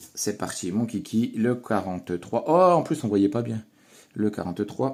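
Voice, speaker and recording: In a very clean recording with a silent background, a man speaks at a fairly slow pace. His intonation is lively. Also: medium pitch for a man. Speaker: scratch-card YouTuber. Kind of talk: casual chat. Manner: animated.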